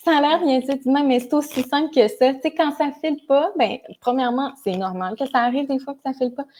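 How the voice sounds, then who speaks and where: A woman with a Quebec accent, dark, mellow tone and moderate pace. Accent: Québécois French. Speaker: psychosocial worker. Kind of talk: live stream chat. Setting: Facebook live.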